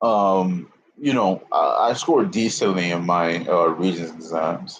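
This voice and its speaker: This man has a very deep, low pitch and a New York accent, speaking at a fairly slow pace with very even loudness and ordinary pitch variation. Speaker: YouTuber. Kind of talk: casual livestream chat. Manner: halting.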